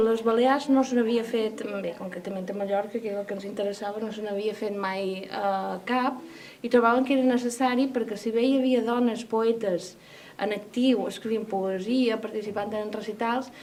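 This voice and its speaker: Moderately paced, fairly high-pitched speech from a woman with an unremarkable speaking voice and fairly even intonation. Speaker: poetry anthologist. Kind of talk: interview answer.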